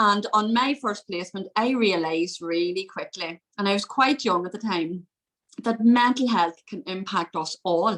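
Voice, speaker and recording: A woman with a medium pitch talks at a moderate speed, her pitch varying in an ordinary way. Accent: Irish. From Northern Ireland, County Fermanagh. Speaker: mental health consultant. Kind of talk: interview.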